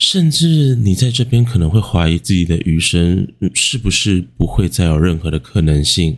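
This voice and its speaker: He has a very deep, low pitch. This man keeps his loudness very even. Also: lively intonation. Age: 20s. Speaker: podcast host. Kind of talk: late-night music reflection monologue. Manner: soft-spoken; slow.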